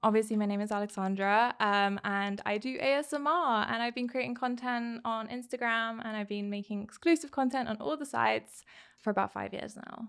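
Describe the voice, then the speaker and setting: On a very clean recording with a silent background, a woman with a British accent speaks at a moderate pace, her fairly high pitch showing ordinary variation. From southern England, Hampshire. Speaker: ASMR content creator. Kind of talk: casual chat.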